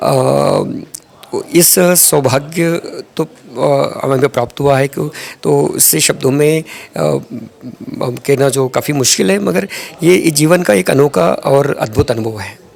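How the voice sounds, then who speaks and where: A man speaks with a Telangana accent over noticeable background noise. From Andhra Pradesh, India (Tirupati). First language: Telugu (speaking Hindi). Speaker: retired army doctor. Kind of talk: interview. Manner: halting, many filler sounds.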